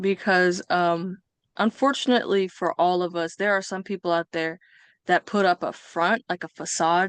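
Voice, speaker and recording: A woman with an unremarkable speaking voice and an American accent talks at a moderate pace and medium pitch, the sound dry and close with no echo against a quiet background. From US West Coast (Bay Area, California). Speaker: podcast guest. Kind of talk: interview.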